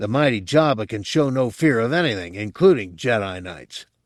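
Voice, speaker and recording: In a growling, put-on character voice of medium pitch, a man speaks at a moderate pace with very wide pitch swings on a very clean recording with a silent background. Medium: read story. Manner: indignant, sycophantic.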